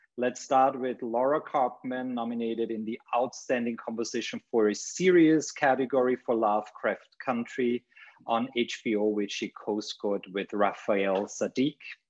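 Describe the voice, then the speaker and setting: Speaking at a fairly slow pace, a man keeps his intonation fairly even. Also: quiet background. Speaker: panel host. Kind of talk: formal introduction. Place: home room. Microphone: webcam.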